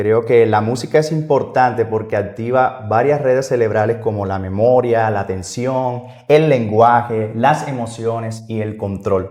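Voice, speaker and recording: With audible room echo, a man talks fairly slowly in a dark, mellow tone and fairly even intonation. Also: medium pitch for a man. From Colombia. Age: 30s. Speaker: music teacher. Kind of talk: podcast interview.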